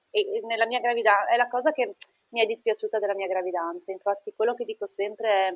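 A woman with a plain, everyday voice, fairly high in pitch, with ordinary pitch variation and a moderate pace. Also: big swings in loudness, dry, close sound with no echo. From northeastern Italy (Treviso). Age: 30s. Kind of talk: interview testimony.

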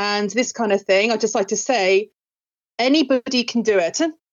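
A woman with an English accent talks at a moderate pace. Her fairly high pitch follows fairly even intonation. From England. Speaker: music and drama school owner. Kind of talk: interview.

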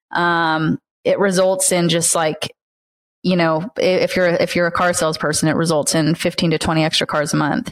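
The recording is very clean, with a silent background, and a woman speaks in an ordinary speaking voice at a fairly low pitch. Her loudness is very even and her intonation fairly even. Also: moderate pace. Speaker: automotive sales trainer. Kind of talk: casual interview chat.

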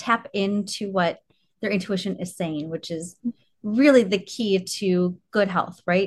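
Against a quiet background, a woman talks at medium pitch in a somewhat breathy voice. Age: 40s. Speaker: podcast host, orthodontist. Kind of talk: interview; guided self-care exercise.

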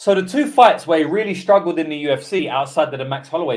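A high-pitched man's voice with a British accent, lively intonation and a fairly quick pace. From UK. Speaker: MMA betting tipster. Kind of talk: live stream betting breakdown. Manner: animated.

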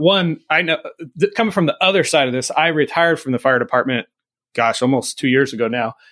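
An unremarkable speaking voice from a man with an American accent, fairly high and lively in intonation, at a fairly quick pace, dry and close with no echo on a very clean recording with a silent background. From US California. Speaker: podcast host, retired fire captain. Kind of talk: casual interview chat.

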